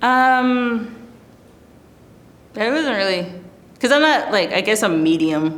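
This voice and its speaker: With an American accent, a woman of fairly high pitch talks at a very slow pace with very wide pitch swings. Long, frequent pauses break up her speech. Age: 20s. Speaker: oil painter. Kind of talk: interview answer. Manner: casual, conversational.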